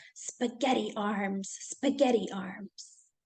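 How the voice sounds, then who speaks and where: Very slowly, a woman speaks in a put-on character voice with a hissing sound at a fairly high pitch. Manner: hissing, self-deprecating.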